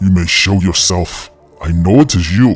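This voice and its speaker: Over music in the background, a man puts on a character voice, very deep and low-pitched and resonant, at a moderate pace. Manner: commanding.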